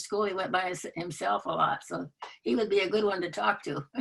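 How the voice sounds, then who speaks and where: A woman's voice with vocal fry and a Michigan accent at a moderate pace. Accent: US Midwest (Michigan). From Michigan (rural area near Muskegon). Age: 90s. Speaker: retired teacher. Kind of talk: interview conversation. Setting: video call. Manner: halting.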